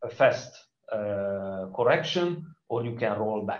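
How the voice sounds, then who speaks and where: A man with a Hungarian accent, somewhat breathy, lively intonation, audible room echo. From Hungary. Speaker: conference speaker. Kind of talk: conference talk.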